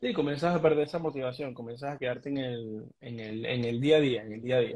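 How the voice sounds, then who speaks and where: The speech runs at a very fast pace with fairly even intonation. The background is quiet. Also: man. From Venezuela, Mérida; Venezuela. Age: 20s. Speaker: trader, immigrant; interview guest. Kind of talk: interview. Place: home room. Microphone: video call.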